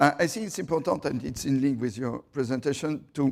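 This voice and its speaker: A man speaks with a strong French accent and a fairly high pitch. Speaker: city councillor. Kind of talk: panel presentation. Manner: halting.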